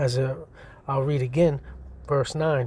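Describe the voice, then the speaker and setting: A man's somewhat breathy voice sits at a fairly high pitch, with a dark, mellow tone and fairly even intonation. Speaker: religious teacher. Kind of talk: scripture teaching. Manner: fast.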